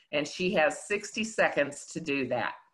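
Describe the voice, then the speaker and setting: A woman's bright, sharp tone at a fairly slow pace, with ordinary pitch variation over a quiet background. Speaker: forum moderator for a civic group. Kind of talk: introduction for an interview. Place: home room. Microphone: video call.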